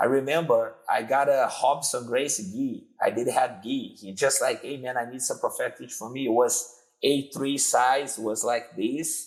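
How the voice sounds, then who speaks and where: The speaker is a man with a Brazilian Portuguese accent. He talks at a fairly slow pace. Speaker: jiu-jitsu instructor. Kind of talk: interview.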